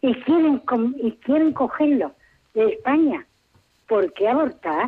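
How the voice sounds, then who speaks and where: A woman at a very slow pace. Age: 80s+. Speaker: caller. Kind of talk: radio call-in.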